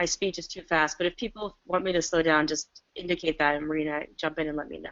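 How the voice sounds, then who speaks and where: Her pitch fairly low and her intonation fairly even, a woman talks at a very fast pace. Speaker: webinar presenter, land rights practitioner. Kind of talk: webinar presentation. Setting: video call from home.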